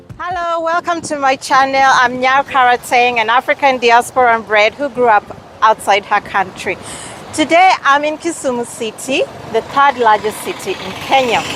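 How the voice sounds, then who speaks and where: A woman talks in a high voice at a moderate pace, her intonation lively. Noticeable background noise runs behind her. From Kenyan heritage, raised partly abroad. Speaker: travel and lifestyle vlogger. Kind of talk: casual vlog to camera. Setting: outdoors in a city street. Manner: hesitant, with fillers.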